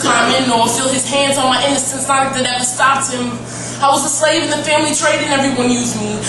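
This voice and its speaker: Noticeable background noise sits behind this recording. A woman with a high pitch talks at a very fast pace. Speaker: slam poet. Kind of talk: spoken word poetry slam performance. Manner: emotional, intense.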